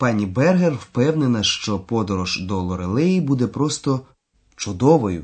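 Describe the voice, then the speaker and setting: A man speaks at medium pitch with very wide swings in pitch and a somewhat breathy quality. The background is quiet. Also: fairly slow pace. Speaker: language course lecturer. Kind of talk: lecture.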